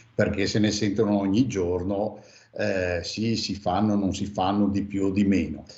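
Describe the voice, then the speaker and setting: In a fairly low pitch and a monotone, flat intonation, a man speaks at a fairly slow pace amid audible room echo. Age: 60s. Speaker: former mayor. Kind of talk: radio interview. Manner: hesitant, many fillers.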